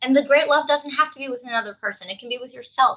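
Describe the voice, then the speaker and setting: The speaker is a woman. Her tone is bright and sharp. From South Jersey. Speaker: dating coach. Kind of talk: podcast interview. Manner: direct.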